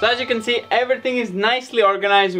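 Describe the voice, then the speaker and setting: Faint music can be heard in the background. Over it, a man talks. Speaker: farm renovation vlogger. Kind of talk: casual vlog chat. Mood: relaxed, pleased. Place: workshop. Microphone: camera far.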